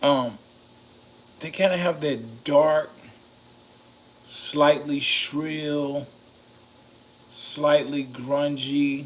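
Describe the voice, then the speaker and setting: A man's fairly high, monotone, flat delivery at a very slow pace with long, frequent pauses, over noticeable background noise. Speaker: mic reviewer, video creator. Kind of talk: casual review talk. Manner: halting, many fillers.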